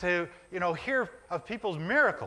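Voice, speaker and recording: A man speaks in a raised, projected voice with a bright, sharp tone at a moderate pace. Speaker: minister preaching a sermon. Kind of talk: church sermon to a congregation.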